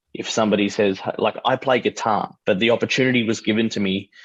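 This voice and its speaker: At a moderate pace, a man with an Australian accent speaks with fairly even intonation and a fairly low pitch. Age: 30s. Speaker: artist and musician. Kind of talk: casual chat.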